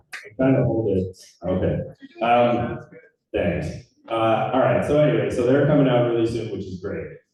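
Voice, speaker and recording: A man speaks with ordinary pitch variation, and the room's echo is audible. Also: medium pitch for a man, moderate pace. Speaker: trails nonprofit director. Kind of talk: public presentation at community meeting. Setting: community meeting room with audience, microphone on stand. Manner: loud.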